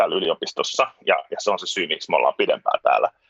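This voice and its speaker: A man talks at a very fast pace, his voice sounding dry and close with no echo. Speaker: musician and former journalist. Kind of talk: casual interview chat. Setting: video call from home (children's room).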